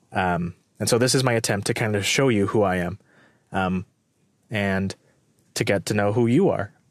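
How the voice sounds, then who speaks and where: Against a quiet background, a man speaks at a moderate pace in a fairly low voice. His pitch varies normally, and he takes long, frequent pauses. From Mexican-American, US. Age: 20s. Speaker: podcast host. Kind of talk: solo monologue, casual. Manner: hesitant, many fillers.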